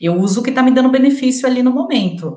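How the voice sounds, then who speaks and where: Somewhat breathy and dark, mellow in tone, the speech runs at a fairly quick pace with very wide pitch swings. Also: woman. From interior of Rio de Janeiro state, rural. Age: 30s. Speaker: air miles student sharing her experience. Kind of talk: interview. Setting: live stream video call.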